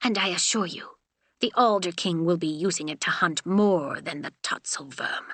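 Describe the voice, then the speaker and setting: A woman does a growling, put-on character voice at a medium pitch. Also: moderate pace. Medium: read story. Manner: stern, terse.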